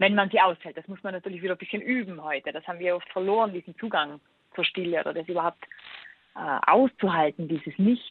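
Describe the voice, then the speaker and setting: Her loudness swings widely as the woman speaks at a very fast pace. She has a medium pitch with ordinary pitch variation. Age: 30s. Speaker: author and digital detox expert. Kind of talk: interview.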